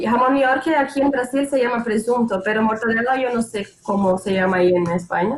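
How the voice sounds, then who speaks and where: A woman speaks with a Portuguese accent at a fairly high pitch and a fairly quick pace, with hardly any pauses. Her pitch variation is ordinary, and noticeable background noise runs behind her. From Brazil, Santos, São Paulo state. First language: Portuguese (speaking Spanish). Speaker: former exchange student. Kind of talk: casual chat.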